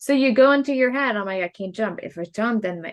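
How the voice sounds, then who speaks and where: A fairly quick pace in a German accent, with ordinary pitch variation over a quiet background. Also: woman. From Germany. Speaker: podcast co-host. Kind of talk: casual chat.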